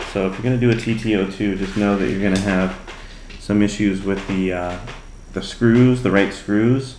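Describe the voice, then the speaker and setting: Amid audible room echo, a soft-spoken man talks at a moderate pace with a fairly low pitch and fairly even intonation. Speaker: RC hobby YouTuber. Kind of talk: hobby build tutorial. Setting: home workbench late at night. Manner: casual, playful.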